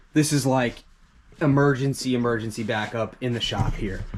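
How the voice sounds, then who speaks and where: A man with an ordinary speaking voice. He talks at a moderate pace with fairly even intonation. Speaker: lawn care business owner. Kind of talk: tutorial. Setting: shop. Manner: casual, conversational.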